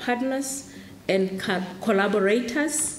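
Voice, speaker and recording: A woman speaks with a Lesotho accent. Noticeable background noise and audible room echo fill the recording. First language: Sesotho. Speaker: program director at launch event. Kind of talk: formal event speech.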